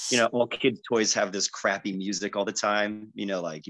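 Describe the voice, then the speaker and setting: Fairly low-pitched male speech with a Californian accent, at a moderate pace against a quiet background. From San Diego, California (Chula Vista). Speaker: singer-songwriter. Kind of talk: casual interview chat.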